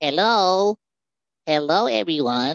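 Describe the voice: This is a put-on character voice with a nasal sound. Its pitch sits in the middle range.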